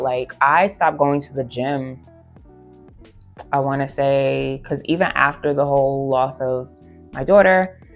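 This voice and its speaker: Background music plays throughout. A woman talks in a very deep, low voice. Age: 30s. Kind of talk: casual talk to camera. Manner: emotional, reflective.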